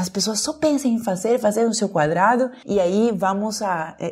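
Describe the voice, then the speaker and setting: A woman speaks with lively intonation in a Peruvian accent. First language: Spanish (speaking Portuguese). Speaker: dialogue facilitator, emotional intelligence specialist. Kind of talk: podcast conversation.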